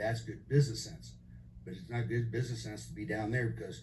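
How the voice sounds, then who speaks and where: A man talks at a fairly quick pace, with audible room echo around him. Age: 60s. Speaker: resident giving public comment. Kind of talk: public hearing testimony. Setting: public meeting.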